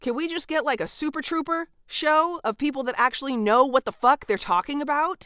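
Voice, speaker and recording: A woman with an American accent, a high pitch, ordinary pitch variation and a bright, sharp tone, at a fairly quick pace with hardly any pauses, in a dry, close sound with no echo. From California. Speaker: podcast co-host and voice artist. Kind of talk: casual chat. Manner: animated.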